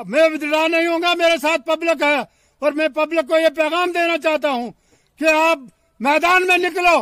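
A man's raised, projected voice at an extremely high pitch, bright and sharp in tone, with fairly even intonation and a fairly slow pace, dry with no echo against a quiet background. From Jammu and Kashmir. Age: 70s. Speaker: election candidate. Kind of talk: political appeal.

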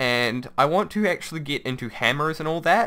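At a moderate pace, a man speaks in a bright, sharp tone with ordinary pitch variation.

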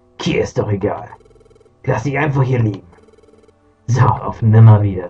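A man's put-on character voice at medium pitch. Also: moderate pace. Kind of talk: let's play reading of game text. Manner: gloating, sneering.

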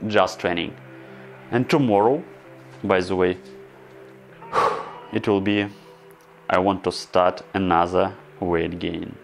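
Over music in the background, a man with a very deep, low pitch speaks very slowly and with fairly even intonation. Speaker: home fitness vlogger. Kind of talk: casual vlog chat. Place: home room. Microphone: lapel.

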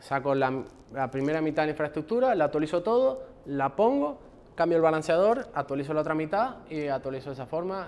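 Moderate pacing from a man. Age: 30s. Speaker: software engineer; conference speaker. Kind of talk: conference talk. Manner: halting, many fillers. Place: classroom.

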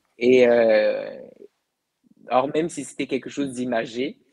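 A man talks at a very slow pace with a medium pitch. The background is quiet. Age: 20s. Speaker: guest. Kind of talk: interview about the afterlife. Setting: live video broadcast. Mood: calm, reflective. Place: home room. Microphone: earbuds.

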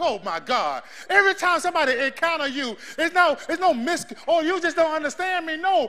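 Speaking at a moderate pace, a man uses a raised, projected voice with a bright, sharp, animated tone, his pitch extremely high yet with ordinary variation. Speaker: preacher. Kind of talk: sermon with live congregation call-and-response. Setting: church. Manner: loud, animated, exhorting the crowd to shout back; fervent, rhythmic, building in intensity. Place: church.

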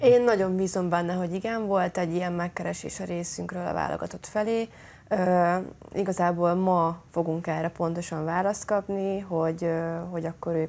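This is a woman with a normal speaking voice and a fairly low pitch. She keeps a moderate pace and fairly even intonation. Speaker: football supporter trip organizer. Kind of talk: interview answers. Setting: TV studio. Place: studio. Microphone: lapel.

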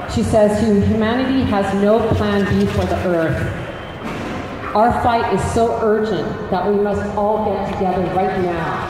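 The speech comes at a fairly slow pace, with strong room echo and noticeable background noise. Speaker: rally speaker. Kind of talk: rally speech. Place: street. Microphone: camera far.

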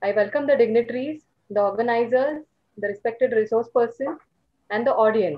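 Against a quiet background, a woman with an Indian accent speaks at a moderate pace. Her pitch is fairly high with ordinary variation. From India, Maharashtra. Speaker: physiotherapy professor and moderator. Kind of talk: formal webinar introduction. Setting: video call. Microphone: video call.

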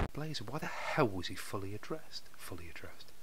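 A man with a British accent talks at a fairly low pitch, using ordinary pitch variation. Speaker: fiction narrator. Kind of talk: audiobook narration with flubbed takes. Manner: flustered, repeating words after stumbles, swearing.

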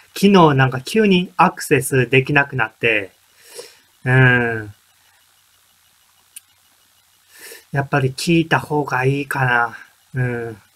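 His delivery comes at a fairly slow pace. This man's pitch shifts in an ordinary way. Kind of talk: casual vlog chat. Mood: puzzled, mildly frustrated. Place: home room. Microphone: webcam.

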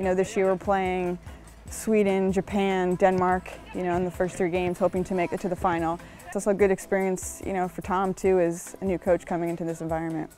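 A woman's very fast, monotone, flat delivery, dry with no echo, over faint music in the background. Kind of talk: interview answer. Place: garden. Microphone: lapel.

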